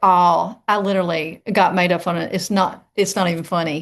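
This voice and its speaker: A woman's medium-pitched voice in a Southern US accent, with fairly even intonation. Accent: Southern drawl. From East Tennessee, US South. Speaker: mindset coach. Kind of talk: interview.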